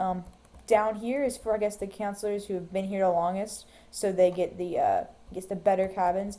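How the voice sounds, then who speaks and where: A woman talks at a fairly quick pace and a medium pitch. Her tone is dark and mellow, and her intonation fairly even. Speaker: gamer showing a Minecraft build. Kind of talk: casual screencast walkthrough. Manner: fast; hesitant, many ums.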